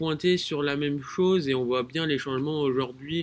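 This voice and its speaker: A man with a fairly high voice speaks at a very slow pace, keeping his intonation fairly even. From France, Rhône-Alpes. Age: 20s. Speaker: engineer. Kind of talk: casual chat. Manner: halting.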